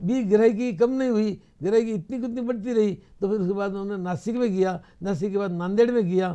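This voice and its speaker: A dark, mellow tone at a moderate pace, with ordinary pitch variation and a quiet background. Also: man, high pitch for a man. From Rajasthan, India. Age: 80s+. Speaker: interview guest. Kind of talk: interview. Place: studio.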